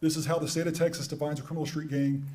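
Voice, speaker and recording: Against audible room echo, a man speaks at a fairly high pitch in monotone, flat intonation. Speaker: police sergeant. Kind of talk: presentation. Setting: meeting with interpreters. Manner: fast.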